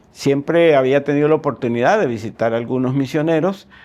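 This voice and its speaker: Here is a man with an unremarkable speaking voice. He talks at a fairly quick pace with lively intonation. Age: 60s. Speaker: agronomist and church missions coordinator. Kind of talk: testimony interview.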